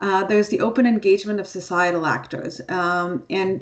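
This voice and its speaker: Her intonation fairly even, a woman speaks at a medium pitch. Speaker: seminar presenter. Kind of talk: online seminar presentation. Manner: fast.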